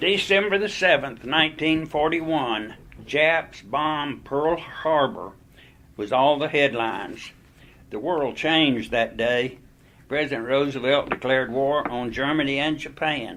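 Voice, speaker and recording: Pitch varies in an ordinary way as the speaker talks fairly slowly. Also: man, fairly high pitch for a man. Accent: Southern US. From Greensboro, North Carolina. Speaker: war veteran. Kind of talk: oral history interview answer.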